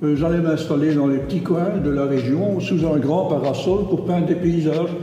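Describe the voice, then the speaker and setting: A man talks at a high pitch and a moderate pace, with ordinary pitch variation. Noticeable background noise and audible room echo fill the recording. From Brussels, Belgium. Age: 80s+. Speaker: painter. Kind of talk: interview.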